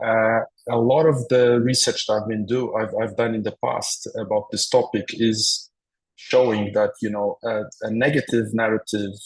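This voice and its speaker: A man with a Madeiran accent speaks at a moderate pace. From Portugal, Madeira. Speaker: professor. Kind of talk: webinar presentation. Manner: halting, many fillers and repeats.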